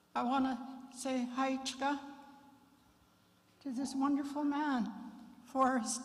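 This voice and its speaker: Over audible room echo, a woman speaks at a high pitch and a fairly slow pace, her intonation monotone and flat, with long, frequent pauses. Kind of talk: memorial address; opening prayer and blessing. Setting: memorial service at fairgrounds.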